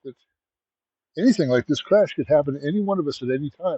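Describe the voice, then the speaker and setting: A man talks at a very fast pace with lively intonation. His pitch is fairly high. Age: 60s. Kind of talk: short sermon.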